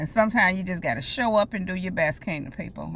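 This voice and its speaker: A woman's medium-pitched voice with vocal fry, an animated tone, lively intonation and a moderate pace. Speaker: life coach and prophetic speaker. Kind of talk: prophetic message to viewers. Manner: occasional stutter, pushing words out; animated, direct address.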